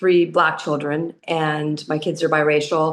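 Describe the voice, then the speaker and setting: This is a woman speaking with a Californian accent. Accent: Californian American English. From US West Coast, southern California. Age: 60s. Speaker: expat retiree. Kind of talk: interview conversation. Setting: podcast recording.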